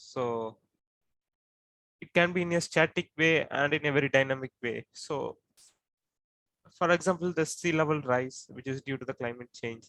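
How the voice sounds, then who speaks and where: In an Indian accent, a man with a bright, sharp tone and fairly high pitch talks at a moderate pace with long, frequent pauses, in a dry, close sound with no echo. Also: ordinary pitch variation. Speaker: coastal flooding researcher. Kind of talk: expert explanation.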